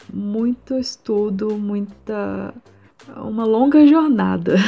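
Speaking very slowly, a woman is heard against noticeable background noise. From Brazil, Minas Gerais (Juiz de Fora). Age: 20s. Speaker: illustrator and art student. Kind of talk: interview. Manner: halting.

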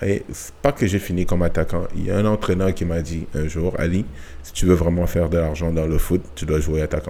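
With a very deep, low pitch, a man speaks in a dark, mellow tone with fairly even intonation. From Cameroon. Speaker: retired soccer player. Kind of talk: casual interview. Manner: halting, with repetitions.

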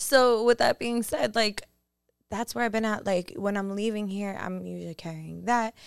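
A woman with medium pitch talks in a normal speaking voice at a moderate pace, with ordinary pitch variation. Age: 20s. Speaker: podcast host. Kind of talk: casual chat. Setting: studio.

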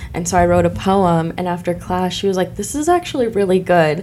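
A woman speaks at a fairly quick pace with a Midwestern US accent. Noticeable background noise runs behind her. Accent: US Midwest. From Illinois, Decatur. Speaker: author and spiritual healer. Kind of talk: casual chat.

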